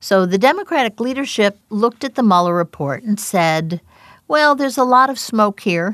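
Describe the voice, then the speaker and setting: A fairly high-pitched woman's voice with very wide pitch swings, in a dry, close sound with no echo. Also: moderate pace. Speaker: governance scholar. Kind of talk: interview clip.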